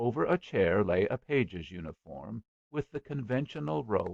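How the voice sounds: The speaker reads in a natural reading voice over a quiet background.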